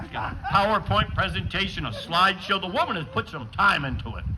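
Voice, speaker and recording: A man's voice moves in very wide pitch swings. Audible room echo surrounds it. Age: 60s. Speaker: stand-up comedian. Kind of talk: stand-up.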